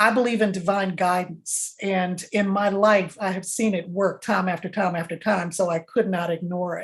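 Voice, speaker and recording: At a moderate pace with hardly any pauses, a woman of medium pitch speaks in a somewhat breathy voice with monotone, flat intonation. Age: 70s. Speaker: employment lawyer and speaker. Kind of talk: interview.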